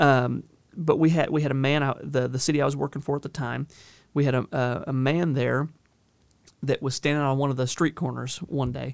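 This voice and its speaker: Speaking with a Southern US accent, a man talks at a fairly quick pace in a fairly high pitch with monotone, flat intonation. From Northern California. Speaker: county sheriff. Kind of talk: interview. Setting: studio. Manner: repeats words often, halting starts.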